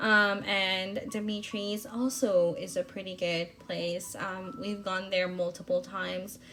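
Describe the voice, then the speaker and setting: A woman speaks at a very slow pace with hardly any pauses. Her pitch sits in the medium range, with ordinary pitch variation. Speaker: planner vlogger. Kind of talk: voiceover narration. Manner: hesitant, many fillers.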